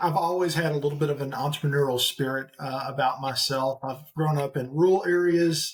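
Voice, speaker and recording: Talking at a fairly quick pace with hardly any pauses, a man with an eastern Oklahoma accent uses a fairly high pitch and fairly even intonation. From eastern Oklahoma and Central Arkansas, US South. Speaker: executive recruiter and part-time pastor. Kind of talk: podcast interview.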